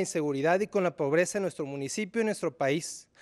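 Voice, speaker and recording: A man speaks against a quiet background. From Zapopan, Jalisco, Mexico; Jalisco, Mexico. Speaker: mayoral candidate, computer engineer; candidate. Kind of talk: political debate. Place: studio. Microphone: podium.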